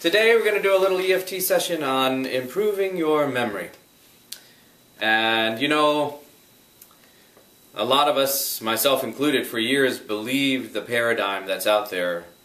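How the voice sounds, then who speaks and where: Very wide pitch swings from a man at medium pitch and moderate pace, with noticeable background noise. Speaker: EFT tapping practitioner. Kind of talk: guided EFT tapping session. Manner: calm, guiding, instructional.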